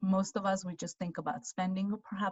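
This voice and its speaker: A woman speaks at a medium pitch. Her voice is somewhat breathy. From Armenia. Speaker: financial adviser. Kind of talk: webinar presentation.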